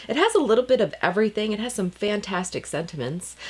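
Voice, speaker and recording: A woman with an American accent. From Baltimore, US. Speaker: card-making crafter. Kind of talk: tutorial. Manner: casual, chatty.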